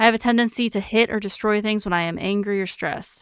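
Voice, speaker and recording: Recorded dry and close with no echo, a woman talks at a fairly high pitch with fairly even intonation. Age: 30s. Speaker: streamer. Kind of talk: reading quiz items aloud with casual commentary. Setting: live stream. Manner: monotone.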